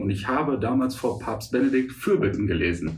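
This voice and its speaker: Moderate-paced speech from a man, amid noticeable background noise and audible room echo. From Münster, Westphalia, Germany. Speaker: stand-up comedian. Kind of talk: casual interview chat.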